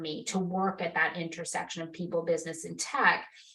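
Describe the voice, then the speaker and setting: At a very fast pace, a woman with an American accent speaks in a somewhat breathy voice. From Massachusetts, New England. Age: 50s. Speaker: marketing executive. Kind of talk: interview conversation.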